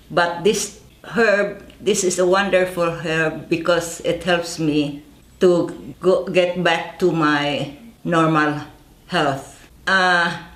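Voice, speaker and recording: A woman speaks at a very slow pace in a fairly low pitch with fairly even intonation. Room echo can be heard in the recording. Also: very even loudness. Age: 80s+. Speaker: herb farmer. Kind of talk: product presentation.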